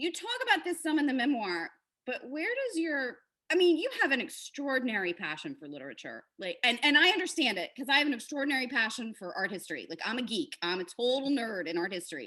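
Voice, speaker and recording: A woman talks at a very fast pace in a high, raised, projected voice. Her pitch swings very widely and her loudness shifts a great deal. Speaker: novelist and interview host. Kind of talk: interview host talk.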